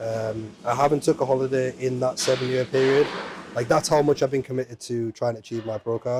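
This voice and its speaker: Here a man speaks in an English accent at medium pitch. His pace is fairly quick, with ordinary pitch variation. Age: 30s. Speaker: amateur bodybuilder. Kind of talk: interview.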